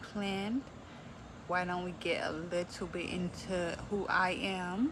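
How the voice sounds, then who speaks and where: This woman speaks with an American accent at a medium pitch. Her intonation is fairly even. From Texas. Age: 20s. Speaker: beauty vlogger. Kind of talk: makeup tutorial. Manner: casual, chatty.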